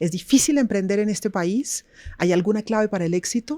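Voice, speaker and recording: In a dry, close sound with no echo, a woman with a dark, mellow tone speaks at a fairly quick pace with lively intonation. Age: 60s. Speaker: podcast host. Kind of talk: interview talk show.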